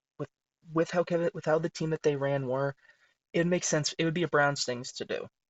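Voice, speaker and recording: A man is whispering. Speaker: sports video creator. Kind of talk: casual commentary.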